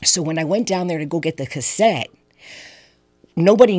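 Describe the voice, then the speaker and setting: A woman with an American accent speaks with lively intonation and a fairly low pitch, on a very clean recording with a silent background. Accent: slight New York-like. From San Francisco, California. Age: 60s. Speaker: guest sharing life story. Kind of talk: testimony.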